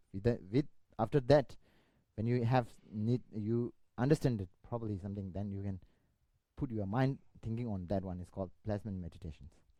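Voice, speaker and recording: A man speaks at a fairly quick pace in a dark, mellow tone with ordinary pitch variation. His loudness swings widely, and he takes long, frequent pauses. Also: fairly low pitch for a man. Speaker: Buddhist teacher. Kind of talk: dharma lecture. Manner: halting, many fillers and restarts.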